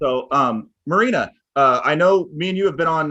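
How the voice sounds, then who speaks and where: A man with a bright, sharp tone and ordinary pitch variation is heard in a dry, close sound with no echo. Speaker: podcast host. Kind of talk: casual chat.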